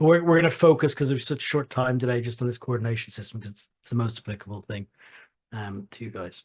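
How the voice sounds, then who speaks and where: A man with an Irish accent, medium in pitch and somewhat breathy, over a quiet background. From Ireland, Dublin. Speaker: software company founder and CEO. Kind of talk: product demonstration. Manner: halting, many repeated words.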